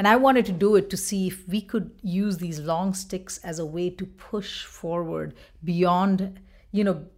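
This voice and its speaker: A woman speaks with a Bengali accent. The recording is very clean, with a silent background. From India, Bengal. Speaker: choreographer and dance professor. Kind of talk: interview.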